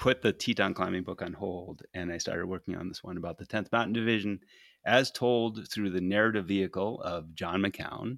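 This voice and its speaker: Recorded very cleanly against a silent background, dry and close with no echo, a man with a fairly low pitch speaks at a moderate pace in an unremarkable speaking voice. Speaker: podcaster and climber. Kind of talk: casual interview. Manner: casual, expressive, profane.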